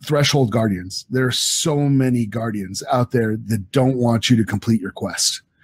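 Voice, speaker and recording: Speaking at a moderate pace with hardly any pauses, a man with a medium pitch and ordinary pitch variation sounds somewhat breathy. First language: French. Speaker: novelist. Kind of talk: interview.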